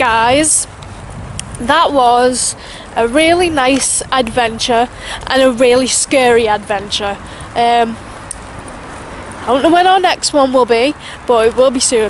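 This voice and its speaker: A high-pitched woman at a fairly slow pace, with long, frequent pauses, very even loudness, a dry sound with no echo and light background noise. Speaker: vlogger. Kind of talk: casual vlog chat. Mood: scared, then relieved. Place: forest. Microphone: phone near.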